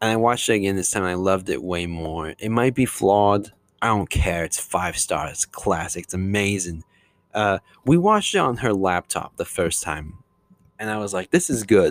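The recording is very clean, with a silent background and a dry, close sound with no echo. A man speaks at a moderate pace, fairly low in pitch, with ordinary pitch variation. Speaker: podcast host. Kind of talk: solo casual monologue. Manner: casual with frequent fillers.

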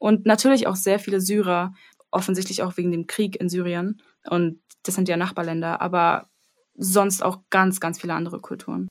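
Using an ordinary speaking voice, a woman talks at a medium pitch and moderate pace with fairly even intonation. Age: 20s. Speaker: music education student. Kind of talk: casual chat.

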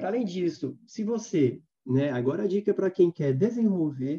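A man talks with a dark, mellow tone and lively intonation. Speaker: social responsibility consultant. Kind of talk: guided meditation; casual chat.

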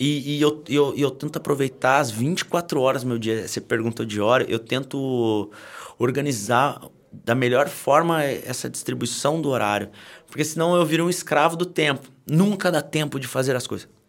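A man with an unremarkable speaking voice talks at a moderate pace, his pitch fairly high with ordinary variation. The recording is very clean, with a silent background. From Brazil, Taubaté (São Paulo state). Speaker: children's content creator. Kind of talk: casual chat.

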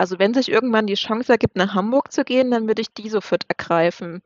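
A woman has a fairly high pitch with ordinary pitch variation. Hers is an unremarkable speaking voice. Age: 30s. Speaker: influencer sharing fertility journey. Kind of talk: casual interview. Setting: wearing headphones, remote recording.

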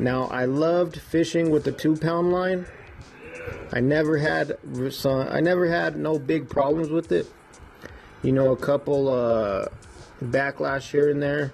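Over noticeable background noise, a man talks at a very even loudness in a fairly high-pitched voice, with long, frequent pauses. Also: ordinary pitch variation, fairly slow pace. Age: 20s. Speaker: fishing podcaster. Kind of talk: casual solo podcast talk. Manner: casual, with frequent fillers.

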